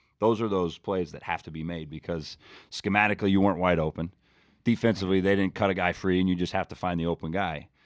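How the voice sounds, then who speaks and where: At a very fast pace, a man with a very deep, low voice talks in fairly even intonation over a quiet background. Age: 30s. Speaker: college football coach. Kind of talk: casual chat.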